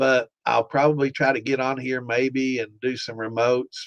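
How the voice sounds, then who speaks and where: With monotone, flat intonation, a man speaks in an American accent. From Pike County, US. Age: 60s. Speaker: podcast host, home distiller. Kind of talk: live stream Q&A, casual chat. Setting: live stream. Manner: casual, folksy.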